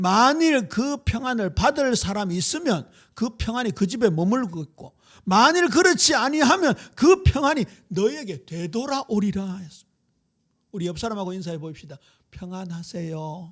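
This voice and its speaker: A man with a high pitch and an animated tone speaks at a moderate pace, his voice showing very wide pitch swings and big swings in loudness. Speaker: pastor. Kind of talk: sermon. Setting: church.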